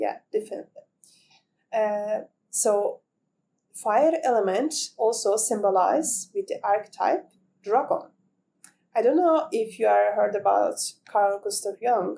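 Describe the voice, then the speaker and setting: A woman with a non-native accent, speaking at a fairly slow pace with long, frequent pauses. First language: not English. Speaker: spiritual content creator. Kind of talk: reflective monologue to camera. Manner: halting, with fillers and restarts.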